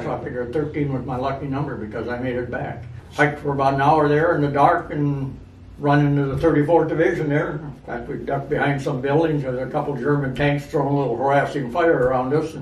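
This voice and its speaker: Against noticeable background noise, a man with a fairly high pitch talks at a very fast pace in a monotone, flat intonation. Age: 80s+. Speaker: war veteran. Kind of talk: interview answer.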